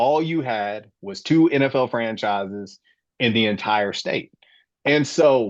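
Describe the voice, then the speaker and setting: At a fairly slow pace, a man with an American accent speaks with lively intonation. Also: medium pitch for a man, quiet background. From Florida, St. Petersburg. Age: 40s. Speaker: sports podcast host. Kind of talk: casual chat.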